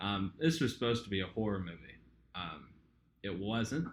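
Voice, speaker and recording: A fairly low-pitched male voice with a slight Southern US accent. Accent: slight Southern drawl. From southern Indiana. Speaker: podcast co-host. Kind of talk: casual chat. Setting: apartment home recording. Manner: casual, hesitant with fillers.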